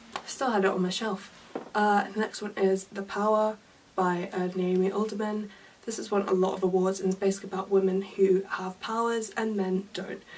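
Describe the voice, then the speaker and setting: A woman's medium-pitched voice with a British accent and monotone, flat intonation. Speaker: book vlogger. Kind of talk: casual vlog. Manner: fast; hurried.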